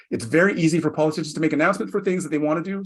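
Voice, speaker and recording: A man with a Canadian accent speaks at a fairly high pitch. The background is quiet. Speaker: federal public servant, planning and reporting. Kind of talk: virtual panel presentation. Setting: virtual session. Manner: fast.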